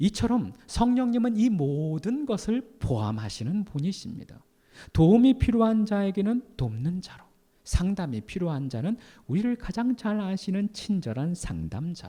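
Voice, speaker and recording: A man with a high-pitched voice speaks at a fairly slow pace, his dark, mellow tone carried by lively intonation. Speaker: pastor. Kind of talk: sermon.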